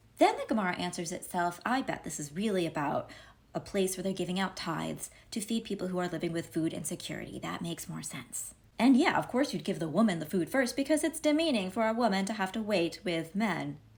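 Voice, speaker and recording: Somewhat breathy, a woman speaks at a fairly quick pace with lively intonation. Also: medium pitch for a woman. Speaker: Talmud commentator. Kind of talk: casual commentary on Talmud. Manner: fast.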